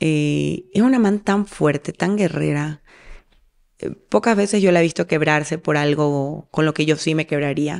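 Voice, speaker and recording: The voice keeps a very even loudness with ordinary pitch variation against a quiet background. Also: woman, very deep, low pitch for a woman, fairly slow pace. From Ecuador, Manabí coast (Portoviejo); Manabí, Ecuador. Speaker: singer; interviewee. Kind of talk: interview; interview answer. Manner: halting, repeats words. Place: home room. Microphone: studio mic.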